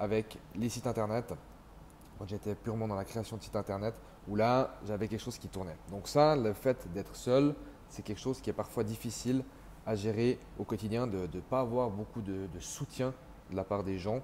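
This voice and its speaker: Speaking at a moderate pace, a man with an unremarkable speaking voice keeps a fairly low pitch and ordinary pitch variation. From Switzerland (French-speaking). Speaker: entrepreneur sharing expat experience. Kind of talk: casual vlog monologue.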